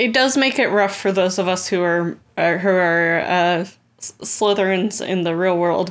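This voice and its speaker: A woman's normal speaking voice at medium pitch, fairly slow with hardly any pauses, with ordinary pitch variation. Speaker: podcast guest. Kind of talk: casual chat.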